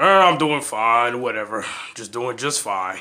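This man puts on a cartoonish character voice, speaking at a fairly slow pace with a medium pitch. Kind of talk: comic overacting. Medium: puppet show. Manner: grumpy, dismissive, crude. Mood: dismissive, offhand.

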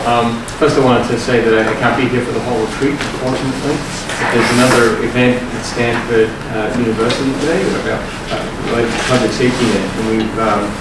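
A man at a fairly quick pace, with loud background noise and audible room echo. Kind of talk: meeting remarks. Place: meeting room. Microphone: camera far.

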